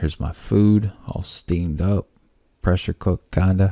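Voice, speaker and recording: This man is soft-spoken and somewhat breathy. He speaks at a fairly slow pace. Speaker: home cooking vlogger. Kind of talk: casual cooking tutorial. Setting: home studio.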